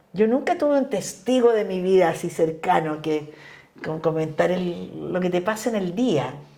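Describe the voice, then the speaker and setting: Over noticeable background noise and audible room echo, a woman talks at a moderate pace. Her intonation is lively. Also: fairly low pitch for a woman. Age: 70s. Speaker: feminist politician. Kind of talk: casual chat. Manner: animated.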